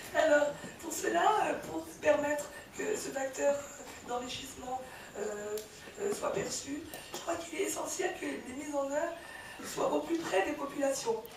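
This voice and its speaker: A woman with a high voice speaks fairly slowly, with lively intonation and long, frequent pauses. Audible room echo and noticeable background noise come through. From born in Algeria, raised in France. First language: Tamazight (Berber) (speaking French). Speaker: politician. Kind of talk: conference speech. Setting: conference forum. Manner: halting, many hesitations.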